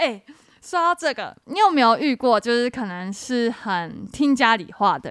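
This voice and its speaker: Pitched high, a woman talks at a moderate pace with very wide pitch swings and big swings in loudness. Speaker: podcast co-host. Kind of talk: casual chat.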